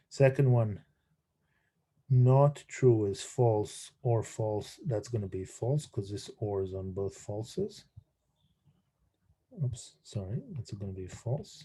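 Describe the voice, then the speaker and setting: The voice is dark, mellow and somewhat breathy, with ordinary pitch variation. It moves at a very slow pace with long, frequent pauses. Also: man, medium pitch for a man. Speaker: university lecturer. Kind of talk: lecture. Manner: halting, many fillers and repeats; mumbling.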